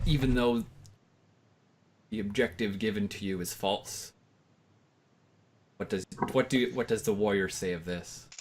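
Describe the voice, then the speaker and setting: A man's growling, put-on character voice, fairly low in pitch, at a moderate pace with long, frequent pauses. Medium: actual play. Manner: solemn, philosophical.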